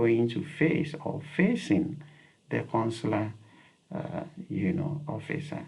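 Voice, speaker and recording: A man speaks very slowly in a Ghanaian accent, with vocal fry and ordinary pitch variation. Room echo is audible. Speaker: YouTube educator. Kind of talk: advice talk to camera. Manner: repetitive, with many fillers.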